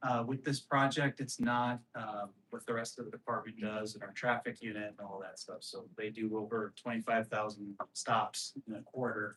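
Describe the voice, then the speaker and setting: Quiet and monotone, a man talks at a moderate pace with a medium pitch and flat intonation. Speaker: police lieutenant. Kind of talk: presentation at community meeting. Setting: community meeting at police substation. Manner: volume inconsistent, too loud or too quiet.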